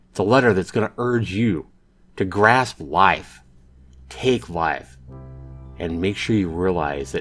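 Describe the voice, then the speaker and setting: A man speaks with a very deep, low pitch at a fairly slow pace, leaving long, frequent pauses. Music plays in the background. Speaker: YouTuber. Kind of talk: letter read aloud.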